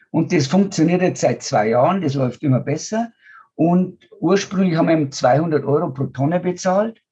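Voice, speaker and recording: At a moderate pace, a man with a fairly high pitch speaks in a dark, mellow tone with ordinary pitch variation. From rural German-speaking region (village). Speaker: biogas entrepreneur and NGO founder. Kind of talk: interview.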